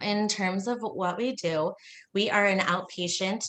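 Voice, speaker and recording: A woman speaks with ordinary pitch variation. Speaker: occupational therapy director. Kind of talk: presentation. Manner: fast.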